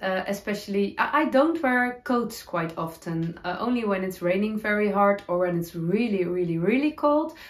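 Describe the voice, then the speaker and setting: Lively intonation from a woman. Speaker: knitting podcaster. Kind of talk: casual vlog chat. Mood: cheerful, laughing at times. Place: home room.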